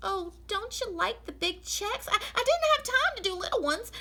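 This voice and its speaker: A woman's put-on character voice, squeaky and extremely high, with very wide pitch swings, a moderate pace and light background noise. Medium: read story. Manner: folksy, earnest.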